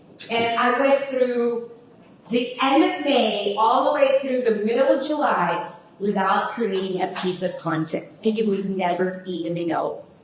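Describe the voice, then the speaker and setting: A woman with a fairly high pitch speaks at a fairly slow pace in an animated tone with lively intonation, with audible room echo and noticeable background noise. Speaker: social media marketing agency owner, speaker. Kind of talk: workshop talk to live audience. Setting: room with live audience. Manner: loud.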